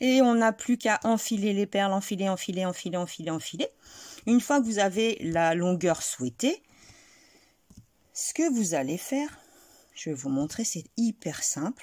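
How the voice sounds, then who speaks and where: A woman at medium pitch with very wide pitch swings, a fairly slow pace and long, frequent pauses, in a very clean recording with a silent background. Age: 40s. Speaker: crochet tutorial creator. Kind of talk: tutorial. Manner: soft-spoken.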